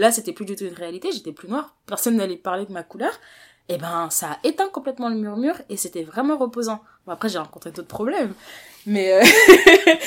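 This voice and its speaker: This woman talks at a fairly quick pace with a fairly high pitch. Her pitch swings very widely and her loudness shifts a great deal. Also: very clean recording, silent background. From Paris, France. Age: 20s. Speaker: interviewee sharing life story. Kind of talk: interview.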